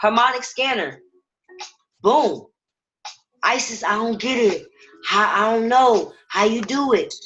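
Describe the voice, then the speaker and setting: Loud and animated, a woman speaks at a high pitch and a fairly slow pace, with ordinary pitch variation and long, frequent pauses. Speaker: trading educator. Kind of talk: webinar tutorial.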